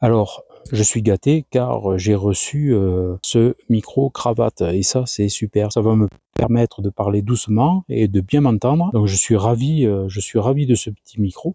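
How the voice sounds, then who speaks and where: Soft-spoken and dark, mellow in tone, a man with a fairly low voice speaks at a fairly slow pace with ordinary pitch variation, in a very clean recording with a silent background and a dry, close sound with no echo. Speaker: wildlife camera youtuber. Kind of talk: vlog narration. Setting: outdoors in forest. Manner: speaking very softly. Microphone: new lavalier mic.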